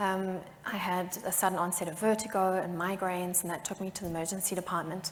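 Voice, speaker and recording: In a South African accent, a woman speaks very fast in a monotone, flat way. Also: medium pitch for a woman. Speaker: patient advocate. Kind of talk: panel discussion.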